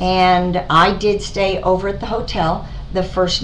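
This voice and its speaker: A woman with a fairly low pitch speaks over noticeable background noise and audible room echo. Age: 60s. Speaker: cosmetic surgery patient. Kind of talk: testimony. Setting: doctor's office. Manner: halting, many fillers.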